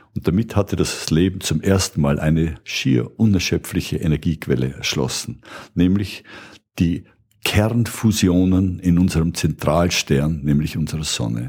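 This man's voice is very deep and low. It carries vocal fry. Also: ordinary pitch variation, fairly slow pace. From Austria, Burgenland. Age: 70s. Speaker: retired biochemistry professor. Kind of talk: popular science explanation.

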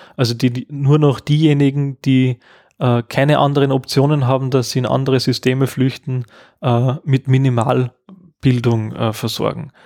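The recording is dry and close with no echo. A man talks at a moderate pace and medium pitch in monotone, flat intonation. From Upper Austria. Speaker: education researcher. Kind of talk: interview.

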